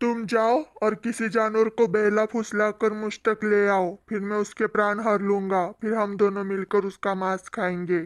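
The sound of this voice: A cartoonish character voice, fairly high-pitched, at a moderate pace with hardly any pauses, on a very clean recording with a silent background. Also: female-sounding voice.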